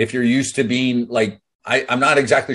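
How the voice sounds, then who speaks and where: The pace is fairly quick. The background is quiet. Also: man. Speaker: business coach. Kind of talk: motivational talk on a group call. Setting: video call. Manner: casual, animated. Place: home room. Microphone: webcam.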